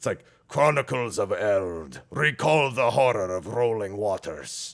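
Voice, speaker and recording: In a booming, put-on character voice at medium pitch, a man talks at a fairly slow pace on a very clean recording with a silent background. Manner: dramatic, fantasy narration.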